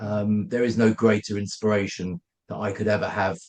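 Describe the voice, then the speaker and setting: A man with a London accent, fairly low-pitched, at a moderate pace and with fairly even intonation. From London, England. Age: 50s. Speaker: company founder. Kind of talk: podcast interview. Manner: halting.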